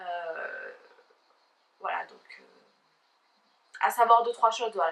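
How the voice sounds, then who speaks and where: A woman speaks at a fairly high pitch. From southern France. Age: 20s. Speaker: YouTuber. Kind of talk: casual vlog talk to camera. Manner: fast; hesitant, many fillers.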